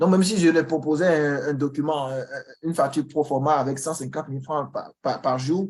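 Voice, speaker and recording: A man with a fairly high pitch talks at a fairly quick pace with fairly even intonation. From Benin. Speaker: Excel trainer. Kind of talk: online information session. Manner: halting, with repetitions.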